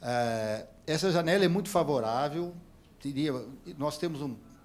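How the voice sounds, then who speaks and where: Here a man speaks with a fairly high pitch. His pace is fairly slow, with ordinary pitch variation. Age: 60s. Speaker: audience member asking a question. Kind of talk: heated debate. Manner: halting, many repetitions.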